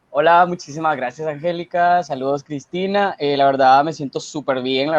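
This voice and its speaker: A man talks in an unremarkable speaking voice. The sound is dry and close with no echo. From Guatemala. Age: 20s. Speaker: university student. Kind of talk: interview.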